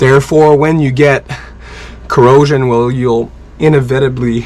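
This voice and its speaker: Over noticeable background noise, a man talks at a medium pitch and a fairly slow pace with fairly even intonation. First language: French. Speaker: sailboat liveaboard vlogger. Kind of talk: tutorial. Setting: aboard a sailboat. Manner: casual.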